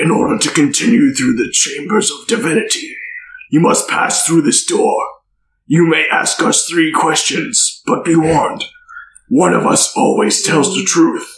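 A man puts on a character voice, pitched high. He delivers it at a moderate pace. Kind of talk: archaic, ceremonial. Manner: scary, ominous.

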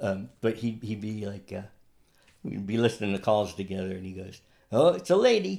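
In an American accent, a man speaks at a moderate pace with fairly low pitch and ordinary pitch variation. His tone is dark and mellow, and his loudness swings widely. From central New York (Utica). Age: 50s. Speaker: musician. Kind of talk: casual chat.

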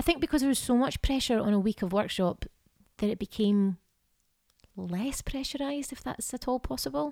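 A high-pitched woman with a Scottish accent and lively intonation, moderate in pace with long, frequent pauses, in a dry, close sound with no echo. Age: 30s. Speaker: actor. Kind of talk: casual chat.

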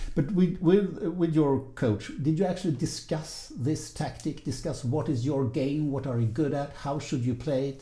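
With a Swedish accent, a man speaks at a moderate pace with hardly any pauses, his fairly high, somewhat breathy voice dark and mellow in tone with ordinary pitch variation. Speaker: podcast host, fencing interviewer. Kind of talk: interview; scripted narration.

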